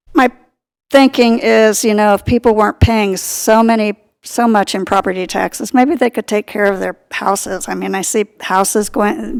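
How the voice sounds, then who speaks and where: A woman's plain, everyday voice, fairly high in pitch, at a moderate pace with ordinary pitch variation and a dry, close sound with no echo. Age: 60s. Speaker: public commenter at city meeting. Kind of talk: public comment at meeting. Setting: city commission meeting.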